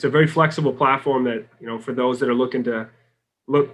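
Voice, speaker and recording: With a Boston accent, a man talks at a very fast pace and keeps his intonation fairly even. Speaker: sales executive. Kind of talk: podcast interview.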